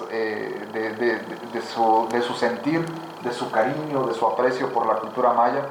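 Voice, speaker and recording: Fairly slow speech with fairly even intonation amid noticeable background noise. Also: man. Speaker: interviewer, project director. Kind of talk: interview host presenting a book. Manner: hesitant, many fillers.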